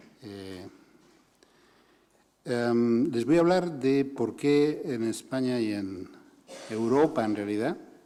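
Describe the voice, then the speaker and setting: A man at medium pitch speaks with long, frequent pauses, and the room echo is audible. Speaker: human rights organization director. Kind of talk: conference talk.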